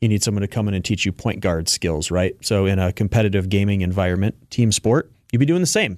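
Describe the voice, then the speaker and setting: A man talks very fast in a fairly low voice with ordinary pitch variation, the sound dry and close with no echo against a quiet background. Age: 30s. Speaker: esports organization founder. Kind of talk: radio interview.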